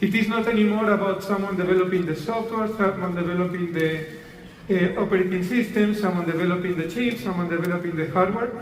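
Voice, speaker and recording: Very fast speech from a man with a high pitch and a strong Spanish accent, fairly even intonation, audible room echo and noticeable background noise. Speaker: tech company executive. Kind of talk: keynote stage conversation.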